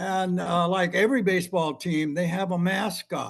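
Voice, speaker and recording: Over a quiet background, a man speaks at a fairly slow pace with a high pitch. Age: 80s+. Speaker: former bodyguard telling stories. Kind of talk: interview storytelling. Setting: video call. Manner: halting with many fillers.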